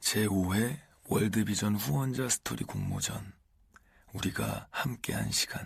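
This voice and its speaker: This man speaks at a very slow pace, his voice somewhat breathy. His pitch varies in an ordinary way. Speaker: actor. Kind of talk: audiobook reading.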